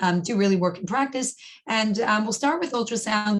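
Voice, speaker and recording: Over noticeable background noise, a woman talks fairly quickly in a fairly high pitch. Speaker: professor. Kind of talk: lecture. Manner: fast.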